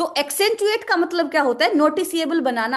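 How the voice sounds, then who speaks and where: A woman talks with lively intonation in a high voice. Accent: Haryanvi. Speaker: vocabulary teacher. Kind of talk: online lecture.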